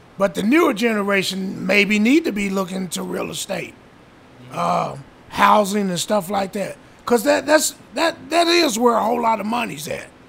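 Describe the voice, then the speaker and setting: High-pitched male voice with lively intonation at a moderate pace, over noticeable background noise. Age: 60s. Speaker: host's father. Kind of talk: casual interview.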